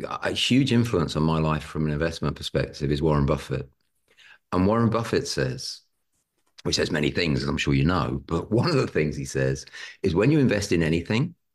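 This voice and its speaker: With a British accent, a man talks at a fairly quick pace in a very deep, low voice with vocal fry and lively intonation. The background is quiet. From Britain. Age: 50s. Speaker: property investor. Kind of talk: podcast interview.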